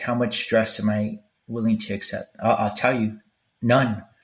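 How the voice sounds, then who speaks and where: A man with an American accent speaks at a moderate pace and medium pitch. His intonation is monotone and flat. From Los Angeles, California (East LA). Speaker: military veteran podcast host. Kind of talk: solo podcast monologue. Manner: casual, halting with repetitions.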